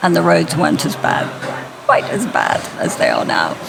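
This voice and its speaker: There is audible room echo and noticeable background noise as a woman speaks with an English accent. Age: 60s. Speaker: interview guest. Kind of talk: interview.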